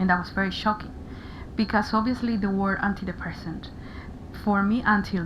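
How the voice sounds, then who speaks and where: A woman talks at a fairly quick pace in a Spanish accent. Her pitch is medium. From Paraguay. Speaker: interviewee sharing mental health experience. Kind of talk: radio interview. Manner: halting, frequent repetitions.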